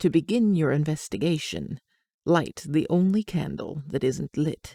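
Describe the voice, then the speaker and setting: Someone uses a put-on character voice that is breathy, at a moderate pace. The sound is dry and close, with no echo. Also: woman, very deep, low pitch for a woman. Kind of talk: horror narration. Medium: solo performance. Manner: slow, grave, foreboding.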